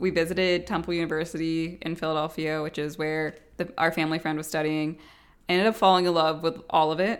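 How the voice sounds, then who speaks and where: Here a woman has a normal speaking voice, fairly low in pitch and fairly even in intonation, at a fairly quick pace. The recording is very clean, the background silent. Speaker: podcast co-host, architect. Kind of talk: casual chat. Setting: small apartment.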